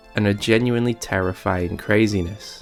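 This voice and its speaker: Against background music, a man speaks at a moderate pace with a fairly low pitch and ordinary pitch variation. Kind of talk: video essay narration.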